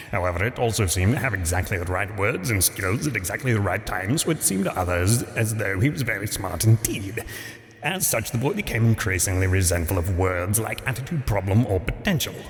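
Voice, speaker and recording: Over clear background noise, a man talks at a fairly quick pace with a fairly low pitch. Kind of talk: dry comic storytelling. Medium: solo performance. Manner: dry, wry.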